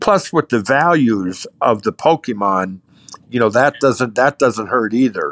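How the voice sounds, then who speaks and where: A man with an American accent speaks at a medium pitch, with lively intonation and very even loudness. The sound is dry and close, with no echo. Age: 60s. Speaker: card collector. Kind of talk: interview. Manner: halting, repeats words.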